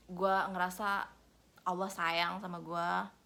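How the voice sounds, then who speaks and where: A woman's very slow, monotone delivery with flat intonation and a bright, sharp tone. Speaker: vlogger. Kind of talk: casual vlog talk, code-switching Indonesian and English. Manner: casual, with hesitations.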